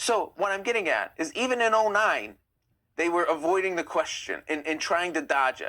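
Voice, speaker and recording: A man with an American accent projects a raised, high voice with a bright, sharp tone and lively intonation at a moderate pace, on a very clean recording with a silent background. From United States. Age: 20s. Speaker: live streamer on Iranian history. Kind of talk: live stream commentary. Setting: TikTok live stream.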